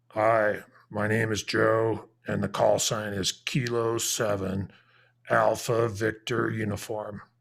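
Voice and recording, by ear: A man puts on a raspy character voice at a fairly low pitch and a fairly slow pace, the put-on voice delivered in monotone, flat intonation. The recording is very clean with a silent background.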